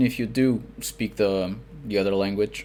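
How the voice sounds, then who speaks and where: A man speaks with a Portuguese accent. His pitch variation is ordinary. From Portugal. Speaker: fiction author and translator. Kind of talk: podcast interview. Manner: halting, many fillers.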